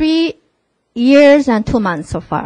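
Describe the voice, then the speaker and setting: This woman has a Korean accent and lively intonation. The sound is dry and close, without echo. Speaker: MBA alumnus presenter. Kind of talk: presentation to prospective students. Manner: casual, interactive.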